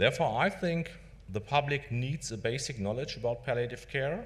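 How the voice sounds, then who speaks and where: A man speaks at a moderate pace with a German accent and vocal fry, with audible echo from the room. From Germany. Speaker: palliative care doctor. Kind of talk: conference lecture. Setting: conference stage with audience.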